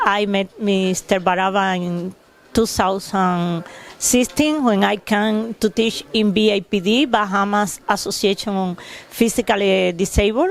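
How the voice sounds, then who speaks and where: A woman speaks in a Cuban accent at a medium pitch. Her pace is fairly slow and her intonation fairly even. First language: Spanish. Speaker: special education teacher. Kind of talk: testimonial tribute. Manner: halting.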